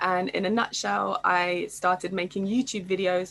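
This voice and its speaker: A woman with a British accent speaks at a moderate pace in a bright, sharp tone. Her pitch is medium with ordinary variation. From England. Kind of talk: panel discussion.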